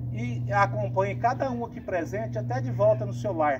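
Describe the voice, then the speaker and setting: Through noticeable background noise, a man's fairly even intonation comes across. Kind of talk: prayer and short sermon. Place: open country. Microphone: camera far.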